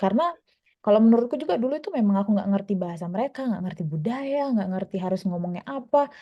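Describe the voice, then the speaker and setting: A woman talks very fast in a Medan accent at medium pitch. Her tone is dark, mellow and somewhat breathy, with lively intonation. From Medan, North Sumatra, Indonesia. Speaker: medical resident doctor, small-group member. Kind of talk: casual sharing in small group. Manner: casual, halting with fillers.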